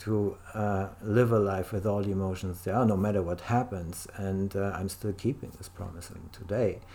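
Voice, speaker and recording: The voice has a German accent and a dark, mellow tone, with monotone, flat intonation. It keeps a moderate pace with hardly any pauses. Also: man, fairly low pitch for a man. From Germany. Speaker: life coach. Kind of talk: interview. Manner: halting.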